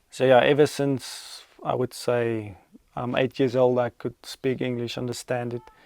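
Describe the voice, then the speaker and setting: With a South African accent, the voice moves at a fairly slow pace in a monotone, flat delivery, with a dry, close sound and no echo. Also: man, medium pitch for a man. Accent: Afrikaans-accented English. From Namibia. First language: Afrikaans. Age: 20s. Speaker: cattle farmer. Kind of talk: Q and A video to camera.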